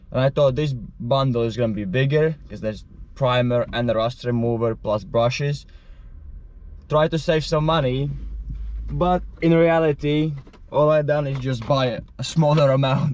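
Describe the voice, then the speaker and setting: A man with a non-native accent at medium pitch, moderate pace, ordinary pitch variation and long, frequent pauses. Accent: noticeable non-native. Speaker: van life vlogger. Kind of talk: casual vlog talk. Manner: hesitant, filler words.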